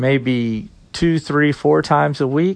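Over a quiet background, a man speaks very slowly at a fairly high pitch. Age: 50s. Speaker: podcast host and comic shop owner. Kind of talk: solo podcast monologue. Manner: halting, frequent fillers.

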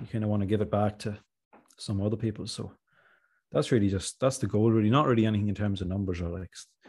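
A man's fairly low, dark and mellow voice, somewhat breathy, with fairly even intonation at a very fast pace against a quiet background. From Ireland, County Monaghan. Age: 20s. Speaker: rapper. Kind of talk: casual interview chat.

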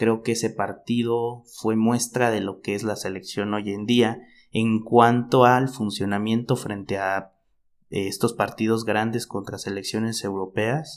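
Monotone, flat delivery from a man of medium pitch at a fairly slow pace, on a very clean recording with a silent background. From Mexico, Chiapas. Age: 20s. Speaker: podcast co-host, football commentator. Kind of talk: casual football chat.

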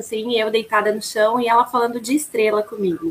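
A woman with a plain, everyday voice, fairly high in pitch. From Rio Grande do Sul, Brazil. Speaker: flight attendant. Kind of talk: interview.

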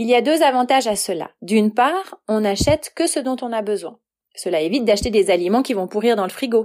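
This woman has an unremarkable speaking voice, fairly high in pitch, with lively intonation and a fairly quick pace. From Switzerland, Valais. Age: 40s. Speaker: freelance writer and translator. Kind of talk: prepared talk, read monologue.

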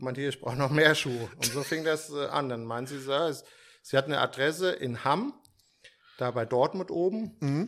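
At a moderate pace, a man talks in a fairly high, bright, sharp voice with ordinary pitch variation. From Germany, Frankfurt area (Steinbach). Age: 50s. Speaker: sneaker store owner. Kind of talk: casual interview chat. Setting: hotel conference room.

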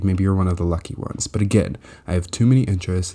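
Ordinary pitch variation marks a normal speaking voice. The speech moves fairly quickly. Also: man. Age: young. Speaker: solo podcaster. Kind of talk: casual monologue. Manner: casual with many filler words.

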